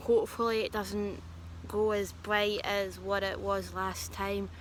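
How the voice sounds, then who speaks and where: Audible room echo hangs around the voice. It belongs to a woman. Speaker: vlogger who says she is a medium. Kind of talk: casual storytelling vlog. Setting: outdoors in a garden. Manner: quiet, soft-spoken; hesitant with fillers.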